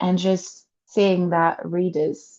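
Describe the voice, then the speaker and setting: A woman is speaking. She has a French accent. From France. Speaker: novelist and historian. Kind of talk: interview. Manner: halting, with repetitions.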